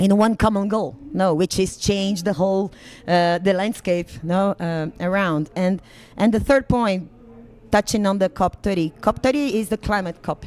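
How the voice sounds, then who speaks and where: The speaker has a Portuguese accent and talks at a moderate pace. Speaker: conference panelist on land restoration policy. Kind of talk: panel discussion. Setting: conference pavilion livestream. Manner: halting, many fillers.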